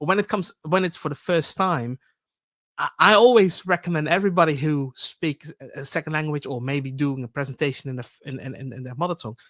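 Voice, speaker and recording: In a very clean recording with a silent background and a dry, close sound with no echo, a man with a Dutch accent speaks fairly quickly at a fairly high pitch with ordinary pitch variation. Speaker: public speaking expert. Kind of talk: panel discussion. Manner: halting, many repetitions.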